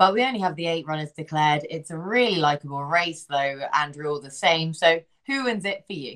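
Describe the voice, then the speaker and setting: Pitched fairly low, a woman with a British accent uses lively intonation and big swings in loudness, hardly pausing at all. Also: fairly quick pace. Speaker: horse racing podcast host. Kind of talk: racing preview chat.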